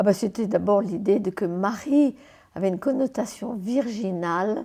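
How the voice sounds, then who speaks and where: In a dark, mellow tone, a woman talks at a fairly slow pace with ordinary pitch variation. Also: medium pitch for a woman. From France (Paris), Martinique béké family. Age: 80s+. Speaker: interview guest, memoir writer. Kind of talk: interview. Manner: lively.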